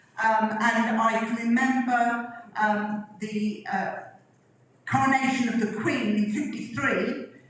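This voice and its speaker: Noticeable background noise and audible room echo surround a woman's fairly high voice. She talks at a very slow pace with fairly even intonation. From England, Flitwick, Bedfordshire. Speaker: local resident sharing memories. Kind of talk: reminiscence talk with photos. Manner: hesitant, many fillers.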